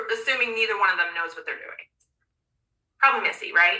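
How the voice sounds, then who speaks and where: Animated and passionate in tone, a woman talks at a fairly high pitch with ordinary pitch variation. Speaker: coach running a manifestation master class. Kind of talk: online class presentation. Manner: fast; animated, passionate.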